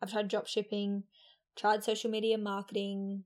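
A woman speaks with fairly high pitch. The recording is very clean, with a silent background. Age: 20s. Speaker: podcast host. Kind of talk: casual solo talk.

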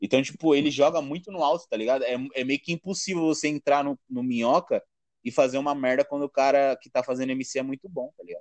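Very fast speech with fairly even intonation swings widely in loudness. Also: man, fairly high pitch for a man. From São Paulo, east zone. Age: 20s. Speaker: stand-up comedian. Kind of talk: casual chat.

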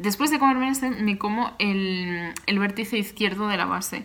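Her pitch is medium with ordinary variation. The woman keeps a moderate pace. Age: 20s. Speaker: graphic designer and podcast host. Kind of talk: solo Q&A podcast, casual.

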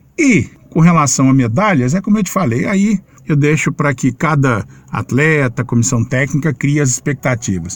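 A man talks at a moderate pace in a fairly high, somewhat breathy voice. His intonation is lively. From Minas Gerais, Formiga. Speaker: sports radio journalist. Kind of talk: interview.

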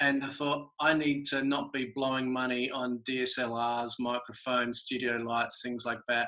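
Using a bright, sharp tone, a man with an Australian accent speaks at a medium pitch and a fairly slow pace in a monotone, flat intonation, with hardly any pauses. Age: 40s. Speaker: artist. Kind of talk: casual chat.

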